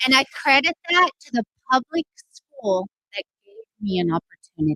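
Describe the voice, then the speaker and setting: In a raised, projected voice, a woman speaks fairly slowly with very wide pitch swings, the sound dry and close with no echo. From Mexico, raised in Texas. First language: Spanish. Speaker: political candidate, teacher. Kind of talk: campaign speech. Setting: rally with live audience.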